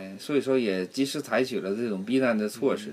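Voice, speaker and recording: In a strong Northeastern Chinese accent, a man speaks fairly quickly at a medium pitch. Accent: strong Northeastern Mandarin. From Northeast China, Harbin. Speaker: community association vice president. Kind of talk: casual chat. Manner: halting, many fillers.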